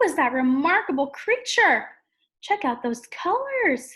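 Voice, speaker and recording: Putting on a character voice, a woman reaches an extremely high pitch with very wide pitch swings. She delivers it at a fairly slow pace. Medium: read story.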